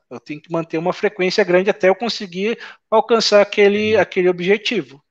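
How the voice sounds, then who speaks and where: A man talks at a moderate pace, with only a quiet background behind him. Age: 40s. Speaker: network engineer and instructor; instructor. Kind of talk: casual interview. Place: home room. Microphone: earbuds.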